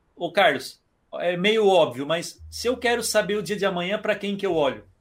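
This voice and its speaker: On a very clean recording with a silent background, a man speaks at a high pitch. He keeps a moderate pace and lively intonation. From Criciúma, Santa Catarina, Brazil. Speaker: entrepreneur and digital marketing expert. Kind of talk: podcast interview.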